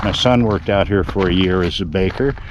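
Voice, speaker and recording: A man with an American accent, very deep, low pitch, a relaxed tone, ordinary pitch variation and a fairly quick pace, over noticeable background noise. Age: 60s. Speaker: travel vlogger. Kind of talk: casual travel vlog narration. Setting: outdoors. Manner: relaxed, with many fillers.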